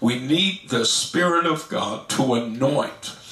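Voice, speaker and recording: A man speaks with ordinary pitch variation. Some room echo is audible. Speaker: pastor teaching Bible study. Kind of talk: sermon. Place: home room.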